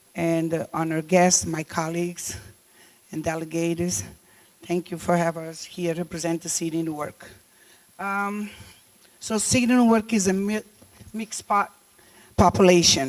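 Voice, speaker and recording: In a Cape Verdean accent, a woman with a fairly low pitch speaks at a moderate pace with ordinary pitch variation and long, frequent pauses. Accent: non-native, Cape Verdean. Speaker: deputy mayor. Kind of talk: conference speech. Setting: summit stage. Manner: halting, many fillers.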